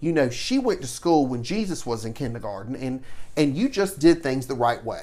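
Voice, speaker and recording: In a Southern US accent, a man talks at a moderate pace with a fairly high pitch and lively intonation. His tone is dark and mellow. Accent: Southern US (Georgia). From US South, Savannah, Georgia. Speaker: podcast host, lifestyle and etiquette personality. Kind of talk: casual chat.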